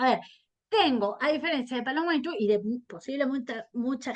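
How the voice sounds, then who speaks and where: A woman speaks at a high pitch with lively intonation. Her pace is moderate. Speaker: historian. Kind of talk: interview. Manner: halting.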